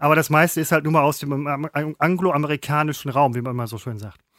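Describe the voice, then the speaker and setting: The sound is dry and close with no echo as a man talks at a fairly quick pace in a fairly high pitch. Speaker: podcast co-host, former TV presenter. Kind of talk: casual chat. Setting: remote call.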